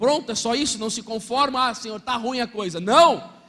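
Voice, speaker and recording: Over noticeable background noise, a man speaks in a raised, projected voice with an animated tone. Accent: Brazilian. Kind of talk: sermon.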